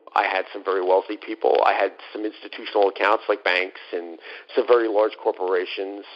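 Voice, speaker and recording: A man talks fairly quickly in an American accent, with noticeable noise behind him. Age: 50s. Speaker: former fund manager. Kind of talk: interview. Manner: halting, many fillers.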